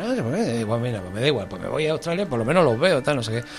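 Over noticeable background noise, a man talks at a very fast pace and medium pitch with very wide pitch swings. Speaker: radio presenter. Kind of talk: casual interview.

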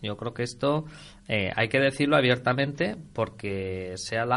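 At a fairly slow pace, a man speaks in a normal speaking voice with medium pitch and ordinary pitch variation. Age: 30s. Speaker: radio host. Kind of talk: casual chat. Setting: studio.

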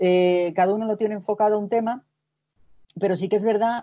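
With fairly even intonation and a dark, mellow tone, a woman speaks at a moderate pace over a quiet background. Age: 40s. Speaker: patient advocate. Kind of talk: interview.

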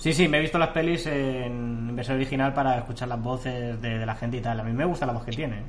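A medium-pitched man with ordinary pitch variation, very fast and with hardly any pauses, in audible room echo. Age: 30s. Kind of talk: casual chat.

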